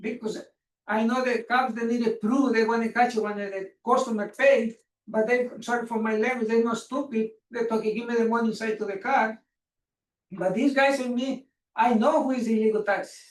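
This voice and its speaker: This man speaks at a moderate pace with a Spanish accent. His pitch is extremely high, and his intonation is monotone and flat. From Mexico. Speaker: taxi business owner speaking at public comment. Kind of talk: public comment at council meeting. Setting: council meeting room. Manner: halting.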